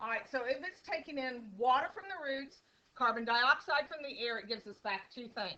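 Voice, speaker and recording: A woman speaks high and loud in a raised, projected voice at a moderate pace. Her intonation is lively, and her loudness swings widely. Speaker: teacher. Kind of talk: classroom lecture. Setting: classroom. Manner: casual.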